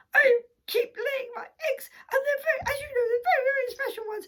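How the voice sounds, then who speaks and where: A woman's squeaky, put-on character voice, extremely high and very fast. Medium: read story. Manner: fussy, clucking.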